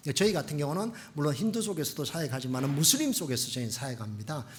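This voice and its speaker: A man's fairly high, somewhat breathy voice with lively intonation and audible room echo. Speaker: missionary pastor. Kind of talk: sermon. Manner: fast; animated.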